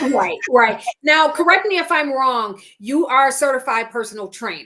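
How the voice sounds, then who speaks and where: A woman with an American accent uses a raised, projected voice, high in pitch with a bright, sharp tone. Her delivery is animated, with lively intonation at a moderate pace. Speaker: podcast host, plant-based nutrition coach. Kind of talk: interview.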